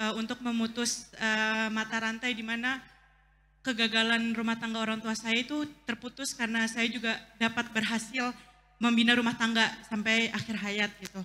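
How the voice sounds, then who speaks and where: Her tone is bright and sharp. The woman's pitch is fairly high, but her intonation is monotone and flat. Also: moderate pace. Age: young. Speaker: audience member asking a question. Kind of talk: Q&A question at religious talk. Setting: mosque gathering. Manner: halting, many fillers.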